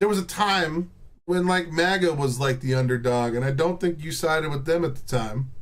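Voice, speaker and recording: The voice has an animated tone, ordinary pitch variation and a moderate pace. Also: man, fairly high pitch for a man. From Texas. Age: 30s. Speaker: livestreamer. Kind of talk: casual chat. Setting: live stream.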